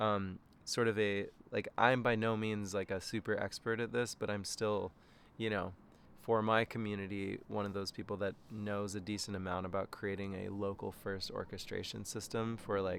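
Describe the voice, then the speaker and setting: On a very clean recording with a silent background, a man speaks at a moderate pace with a fairly low pitch and monotone, flat intonation. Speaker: filmmaker and tech worker. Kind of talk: casual video message. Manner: halting, many fillers and restarts.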